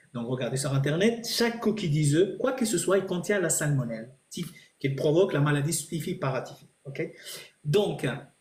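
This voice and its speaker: With audible room echo, a man with a non-native accent speaks at a moderate pace, his fairly high voice moving with lively intonation. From Italy. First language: not French (speaking French). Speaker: chef. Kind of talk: live stream Q&A. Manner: halting.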